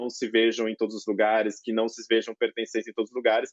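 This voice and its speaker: This is a man speaking at a medium pitch. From Greater São Paulo, Brazil (Carapicuíba, Osasco). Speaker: law professor, panelist. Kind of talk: panel discussion. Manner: halting, many filler sounds.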